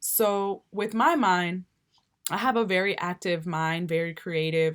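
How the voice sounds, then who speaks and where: Speaking at a very slow pace with a Spanish accent, a woman of medium pitch shows ordinary pitch variation in a very clean recording with a silent background. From Cuba, moved to the US at five. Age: 20s. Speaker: YouTuber. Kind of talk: casual vlog monologue.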